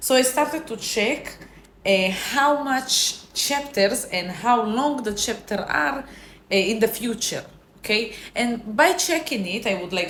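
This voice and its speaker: Her intonation is lively and her accent is non-native. Noticeable background noise and audible room echo come through on the recording. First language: not English. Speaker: self-help vlogger. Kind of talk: casual motivational talk. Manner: halting, with self-corrections.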